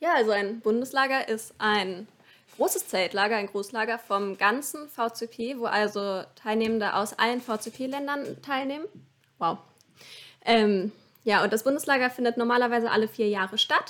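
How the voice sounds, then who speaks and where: A woman has an unremarkable speaking voice, fairly high in pitch with ordinary pitch variation. She speaks at a moderate pace. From Lower Saxony, Hannover area. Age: 20s. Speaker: scout camp organiser. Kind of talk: podcast interview.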